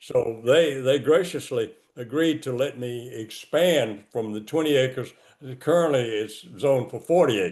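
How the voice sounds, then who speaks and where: With a Southern US accent, a man talks at a fairly slow pace and with ordinary pitch variation. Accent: Southern US (Georgia). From US South. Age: 80s+. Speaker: cemetery founder. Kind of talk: interview. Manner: halting.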